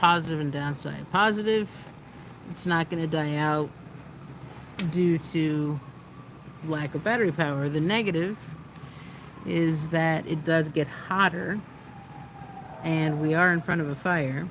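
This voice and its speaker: Soft-spoken and very deep for a woman, her voice moves at a fairly slow pace with ordinary pitch variation and long, frequent pauses. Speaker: livestream host, activist. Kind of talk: casual livestream chat. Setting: outdoors by a fire pit.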